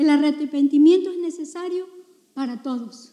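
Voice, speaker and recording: This is a woman with a high pitch. She talks at a fairly slow pace. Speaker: pastor. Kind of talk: sermon. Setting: church. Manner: earnest, impassioned preaching; sermon cadence with scripture citations and exhortation.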